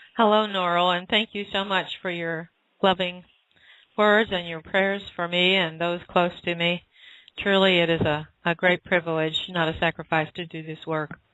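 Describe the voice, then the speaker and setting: A woman talks in a fairly low voice at a moderate pace. Her intonation is monotone and flat. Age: 60s. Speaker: spiritual author and channel. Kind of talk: interview answer, spiritual Q&A. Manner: hesitant, frequent uh fillers.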